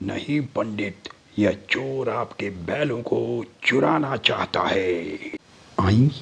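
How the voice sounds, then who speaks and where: A man does a cartoonish character voice at medium pitch. He talks at a very slow pace. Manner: greedy, rough, childishly stubborn.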